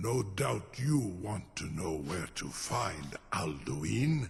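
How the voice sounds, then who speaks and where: A man growls in a put-on character voice with a very deep, low pitch. He speaks at a very slow pace, his pitch swinging very widely. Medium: video game. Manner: formal, measured, mixes dragon-tongue words.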